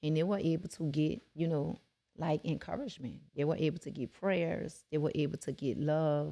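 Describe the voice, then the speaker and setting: With a very deep, low pitch and a dark, mellow tone, a woman talks at a moderate pace with ordinary pitch variation. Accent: New Orleans. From New Orleans. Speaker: rap artist and community activist. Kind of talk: podcast interview testimony. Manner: animated.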